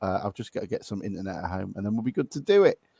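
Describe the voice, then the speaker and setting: A man with an English accent has a dark, mellow tone, captured as a dry, close sound with no echo on a very clean recording with a silent background. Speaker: football podcast host. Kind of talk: casual chat.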